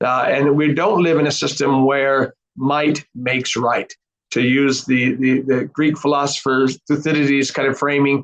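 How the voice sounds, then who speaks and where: Monotone and flat in intonation, a man talks at a fairly high pitch with very even loudness. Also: moderate pace. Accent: Arizona. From US, Arizona. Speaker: professor, think tank head. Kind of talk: interview answers. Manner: halting, many fillers and repeats.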